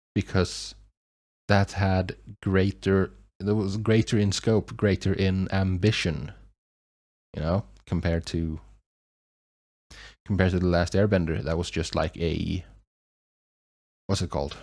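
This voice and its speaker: A man's very deep, low voice with a non-native accent, long, frequent pauses and a very clean recording over a silent background. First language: not English. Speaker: YouTube reaction reviewer. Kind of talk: casual review monologue. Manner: halting, many fillers and restarts.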